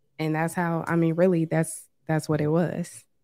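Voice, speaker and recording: In an American accent, a woman speaks at a fairly slow pace with a fairly low pitch, a dark, mellow tone, and monotone, flat intonation. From US East Coast (Washington DC). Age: 30s. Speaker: forex trader. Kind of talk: casual chat.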